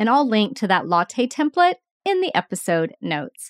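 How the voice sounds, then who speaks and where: Her pitch swings very widely as the woman speaks. The recording is very clean, silent in the background, with a dry, close sound and no echo. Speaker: podcast host, nurse educator. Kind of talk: solo educational podcast. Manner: slow, deliberate pace.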